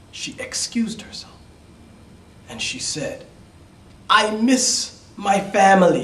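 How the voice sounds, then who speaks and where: A man with a New York accent, high-pitched with ordinary pitch variation, at a very slow pace over noticeable background noise. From New York City. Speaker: EFL instructor. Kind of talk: read-aloud fairy tale for English learners. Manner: slow, simple.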